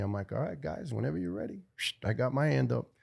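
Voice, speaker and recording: In a very clean recording with a silent background, a man talks at a very fast pace with a fairly low pitch. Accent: New York. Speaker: retired firefighter. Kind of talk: interview testimony.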